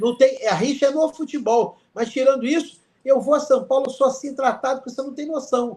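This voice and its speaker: At a moderate pace, a man talks with an extremely high pitch and big swings in loudness. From Niterói, Rio de Janeiro, Brazil. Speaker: sports law professor and lawyer. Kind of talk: guest lecture and casual chat. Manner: animated.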